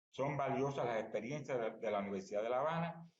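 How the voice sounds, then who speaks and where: A man with a Cuban accent talks somewhat breathily at a fairly quick pace, with medium pitch and ordinary pitch variation. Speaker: academic conference speaker, Spanish language teacher. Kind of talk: conference talk. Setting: remote presentation via online platform. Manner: fast.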